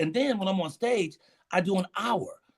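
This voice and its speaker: The speaker talks very fast in an animated tone with ordinary pitch variation. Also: man. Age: 60s. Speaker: stand-up comedian. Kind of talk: casual interview chat.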